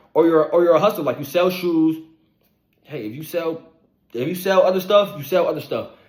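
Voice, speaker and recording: A man talks at a fairly quick pace in a high voice, with big swings in loudness. His speech is broken by long, frequent pauses. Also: ordinary pitch variation. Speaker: online money motivation creator. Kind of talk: motivational monologue. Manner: fast.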